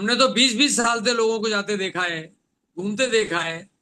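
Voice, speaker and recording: With a raised, projected voice and a bright, sharp tone, a man speaks at a high pitch and moderate pace with ordinary pitch variation. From Rajasthan, India. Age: 70s. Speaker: doctor and health product speaker. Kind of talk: motivational talk.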